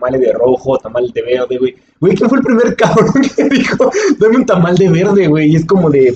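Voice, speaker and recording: An animated man at a high pitch and a fairly quick pace, with very wide pitch swings. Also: very even loudness. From Mexico. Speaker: podcast host. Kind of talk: casual chat.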